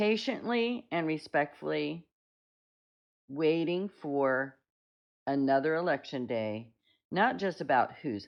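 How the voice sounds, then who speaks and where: A woman speaks at a very slow pace with an American accent, her pitch swinging very widely. Long pauses come often between her words. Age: 60s. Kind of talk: opinion monologue.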